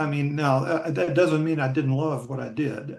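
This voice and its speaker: A man talks with a fairly high pitch. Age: 60s. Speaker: retired sports columnist. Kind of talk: casual interview. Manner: halting, many repetitions.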